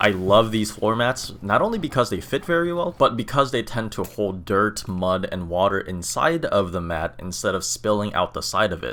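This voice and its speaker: Here is a man with a plain, everyday voice. His pitch sits fairly low and his intonation is lively. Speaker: car DIY video maker. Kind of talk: voiceover narration tutorial.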